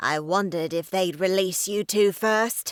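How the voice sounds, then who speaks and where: A female-sounding, put-on character voice booms with a raspy edge. It sits at a medium pitch and moves at a moderate pace. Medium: read story.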